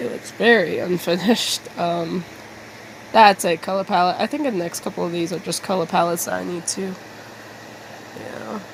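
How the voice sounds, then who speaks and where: A woman with a fairly low pitch speaks at a moderate pace, using ordinary pitch variation and long, frequent pauses over noticeable background noise. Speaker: digital artist. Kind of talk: casual talk to camera. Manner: hesitant, halting.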